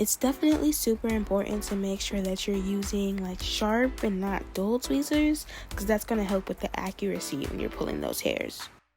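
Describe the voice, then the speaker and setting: With music in the background, a woman with an American accent speaks at a fairly quick pace with hardly any pauses. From Maryland. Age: 20s. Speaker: beauty YouTuber. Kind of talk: casual tutorial talk to camera.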